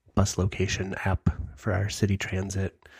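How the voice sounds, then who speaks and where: Somewhat breathy, a man speaks with a Midwestern American accent. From US Midwest, Michigan. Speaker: podcast co-host. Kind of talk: casual chat. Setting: video call.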